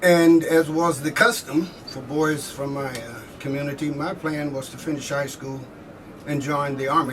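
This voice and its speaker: Recorded with audible room echo and noticeable background noise, a man with an American accent talks at a moderate pace, his pitch fairly high and his intonation fairly even. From southeast Missouri. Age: 70s. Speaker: army veteran. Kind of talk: oral history interview. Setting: convention floor.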